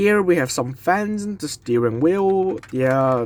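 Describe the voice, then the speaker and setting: Very wide pitch swings from a man talking at a very slow pace. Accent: non-native. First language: not English. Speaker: diecast model reviewer. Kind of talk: product review. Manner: halting.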